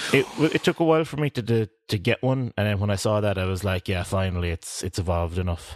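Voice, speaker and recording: Here a man with an Irish accent speaks at a very fast pace in a fairly low pitch, with lively intonation and hardly any pauses. The sound is dry and close with no echo, over a quiet background. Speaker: podcast co-host. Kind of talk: casual chat.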